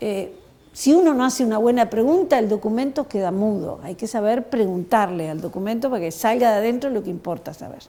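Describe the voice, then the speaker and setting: A woman talks with a dark, mellow tone at a fairly high pitch. Her intonation is lively. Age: 60s. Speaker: historian. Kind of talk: talk to schoolchildren. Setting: school.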